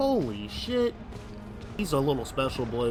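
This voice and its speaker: A man's medium-pitched voice with lively intonation at a moderate pace, plus audible room echo and music in the background. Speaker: gaming YouTuber. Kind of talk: let's play commentary. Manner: stuttering; casual, halting.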